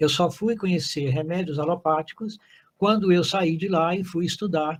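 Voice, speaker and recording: A man speaks in a high pitch at a moderate pace. His intonation stays fairly even. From Brazil, Zona da Mata of Minas Gerais (Guiricema). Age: 80s+. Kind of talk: testimony. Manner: halting, many fillers and restarts.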